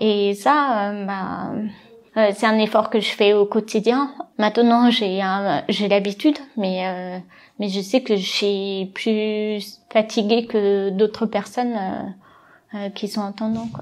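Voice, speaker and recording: A woman's very slow voice with fairly even intonation. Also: medium pitch for a woman. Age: 20s. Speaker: deaf para-badminton athlete. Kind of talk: interview. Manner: hesitant.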